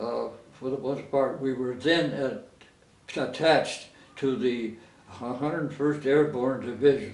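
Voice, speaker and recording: A man talks with an American accent and long, frequent pauses. Noticeable background noise runs behind him. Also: medium pitch for a man, ordinary pitch variation, fairly slow pace. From Coronado, California. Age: 80s+. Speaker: war veteran. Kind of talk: interview answer.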